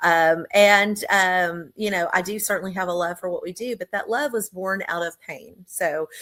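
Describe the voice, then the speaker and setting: On a very clean recording with a silent background, a woman speaks with an American accent. Her pitch is medium and her pace moderate. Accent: Texas accent, slips in occasionally. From Texas. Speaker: business owner. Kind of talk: interview testimony. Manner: hesitant, many fillers.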